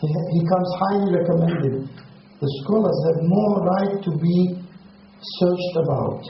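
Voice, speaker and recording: Noticeable background noise sits under a man's high-pitched voice. He speaks very slowly with fairly even intonation. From Russia (Circassia). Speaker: Islamic lecturer. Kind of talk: religious lecture.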